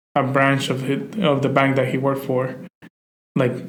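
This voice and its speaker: At a moderate pace and medium pitch, a man speaks with a Spanish accent in audible room echo. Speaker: podcast co-host. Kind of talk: casual chat. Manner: hesitant, many fillers.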